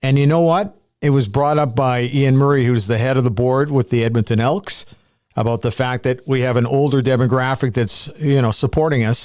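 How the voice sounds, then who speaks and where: A man speaks in a normal speaking voice with a Canadian accent, at medium pitch and a moderate pace, with ordinary pitch variation. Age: 60s. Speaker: sports podcast host. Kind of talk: casual chat.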